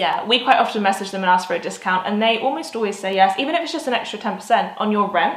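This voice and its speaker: With noticeable background noise behind her, a woman with a British accent and a medium-pitched voice talks at a very fast pace with lively intonation and hardly any pauses. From South of England. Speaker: digital nomad vlogger. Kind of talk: casual talk to camera.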